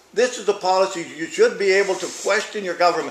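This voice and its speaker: Amid noticeable background noise and audible room echo, a high-pitched man speaks at a fairly quick pace. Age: 70s. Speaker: town hall attendee, cattle farmer. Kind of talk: public comment at town hall. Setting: town hall meeting in library. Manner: animated.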